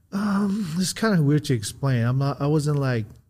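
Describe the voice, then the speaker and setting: With an American accent, a man talks at a fairly slow pace in a somewhat breathy voice with a dark, mellow tone and very wide pitch swings. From Southern California. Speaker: former drug dealer, now realtor. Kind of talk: interview. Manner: laid-back, frequent you know.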